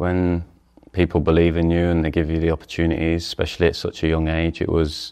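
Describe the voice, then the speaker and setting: A man speaks at a fairly quick pace in a very deep, low voice with monotone, flat intonation. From England. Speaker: professional footballer. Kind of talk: interview. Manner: hesitant, many fillers.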